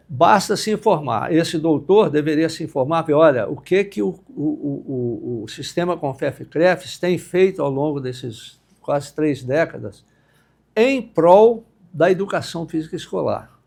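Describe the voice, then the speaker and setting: A fairly high-pitched man at a fairly slow pace, with lively intonation and music in the background. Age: 70s. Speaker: university professor, former director. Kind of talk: podcast interview.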